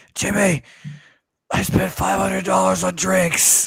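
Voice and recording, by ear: A man puts on a raspy character voice, pitched very deep and low. He speaks at a fairly slow pace.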